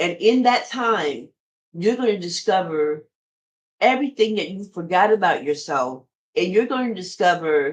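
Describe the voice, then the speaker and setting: A woman of medium pitch talks at a fairly slow pace. Her tone is animated and her intonation lively. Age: 50s. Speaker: podcast host. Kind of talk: casual monologue.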